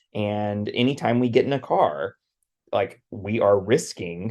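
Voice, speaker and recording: Someone with an American accent speaks at a very slow pace against a quiet background. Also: man. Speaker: podcast host. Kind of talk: casual podcast discussion.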